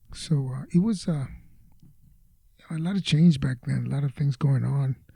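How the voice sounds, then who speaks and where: Dry and close with no echo, a man's somewhat breathy voice has a dark, mellow tone, a fairly high pitch and a moderate pace. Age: 70s. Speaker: retired teacher and Vietnam veteran. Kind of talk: interview answer.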